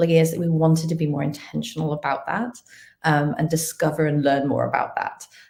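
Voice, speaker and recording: This woman has a fairly low pitch and a somewhat breathy voice. She talks at a fairly quick pace. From UK, earlier Kenya. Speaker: talent acquisition executive. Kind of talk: live webinar interview. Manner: frequent fillers (um, uh).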